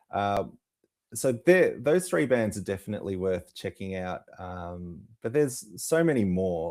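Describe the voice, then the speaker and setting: In a very clean recording with a silent background, a man with an Australian accent speaks in a fairly low pitch with lively intonation. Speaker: music promoter. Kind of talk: interview.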